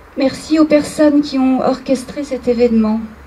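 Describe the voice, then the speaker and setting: Noticeable background noise sits behind a woman's voice. She talks at a fairly slow pace with fairly even intonation. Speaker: fashion designer receiving an award. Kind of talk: acceptance speech. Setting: ceremony with audience.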